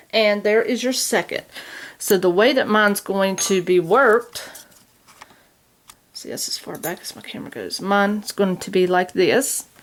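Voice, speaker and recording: A woman speaks at a moderate pace and a medium pitch, with ordinary pitch variation and big swings in loudness. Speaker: crochet instructor. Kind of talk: tutorial. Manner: hesitant with fillers.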